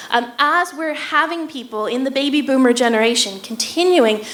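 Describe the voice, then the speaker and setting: Lively intonation carries this voice with an American accent. Audible room echo and noticeable background noise fill the recording. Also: woman. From United States. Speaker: neuroscience researcher. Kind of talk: public lecture.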